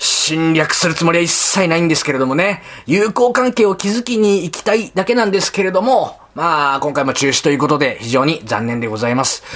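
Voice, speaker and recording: A man with a high voice speaks at a fairly quick clip, his pitch swinging very widely. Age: 30s. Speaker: comedian podcast host. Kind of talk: casual chat; announcement.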